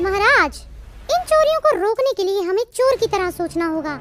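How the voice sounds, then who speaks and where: Over clear background music, a woman performs a cartoonish character voice at an extremely high pitch and a moderate pace. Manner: calm, determined.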